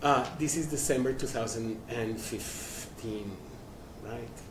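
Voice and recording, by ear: A man speaks with fairly even intonation, and audible room echo surrounds his voice. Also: slightly mellow tone.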